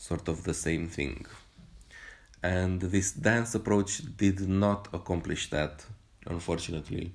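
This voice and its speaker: With a non-native accent, a man speaks in a very deep, low voice at a fairly slow pace, with ordinary pitch variation and long, frequent pauses. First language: not English. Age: 30s. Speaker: movement practitioner podcaster. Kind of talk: solo monologue podcast. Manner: halting, many fillers.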